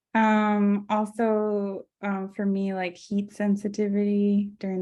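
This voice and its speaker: A soft-spoken woman's voice, monotone and flat, at a fairly slow pace. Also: very clean recording, silent background. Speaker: graphic designer with multiple sclerosis. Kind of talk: interview conversation. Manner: hesitant, many fillers.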